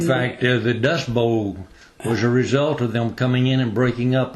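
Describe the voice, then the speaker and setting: A man's medium-pitched voice at a moderate pace, an ordinary speaking voice. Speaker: radio host. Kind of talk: radio interview questions.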